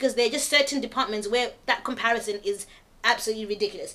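Over noticeable background noise, a woman speaks at a very fast pace in a high voice. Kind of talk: casual group chat.

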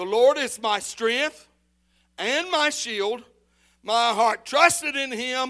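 A man uses a raised, projected voice with a bright, sharp tone and an extremely high pitch. He goes at a very slow pace with long, frequent pauses and ordinary pitch variation. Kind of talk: sermon with scripture reading and call-and-response. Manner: pastoral and direct, urging the congregation to answer back.

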